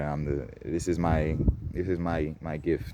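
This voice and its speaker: Speech in a non-native accent comes out with monotone, flat intonation. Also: man. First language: not English. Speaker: spiritual vlogger. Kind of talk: casual monologue. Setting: outdoors in nature. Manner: projecting louder than usual.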